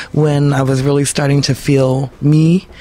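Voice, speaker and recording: The speech moves at a fairly slow pace with monotone, flat intonation. Noticeable background noise sits behind it. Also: woman. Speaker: blues singer. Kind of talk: interview. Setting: radio studio. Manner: hesitant with many fillers.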